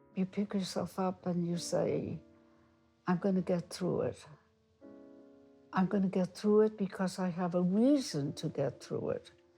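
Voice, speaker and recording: Over music in the background, a woman with an American accent and medium pitch speaks at a fairly slow pace, with ordinary pitch variation and long, frequent pauses. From US Northeast, Brooklyn New York. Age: 90s. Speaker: retired teacher. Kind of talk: interview.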